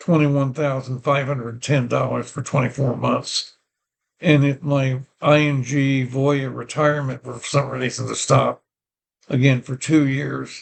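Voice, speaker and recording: Somewhat breathy, a man speaks at a fairly slow pace in a monotone, flat way. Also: medium pitch for a man. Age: 80s+. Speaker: vlogger. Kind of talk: personal vlog monologue. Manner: halting.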